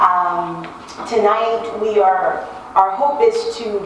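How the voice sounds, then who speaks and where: Audible room echo sits over light background noise. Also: woman. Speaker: panel facilitator. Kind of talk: event introduction speech. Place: hall.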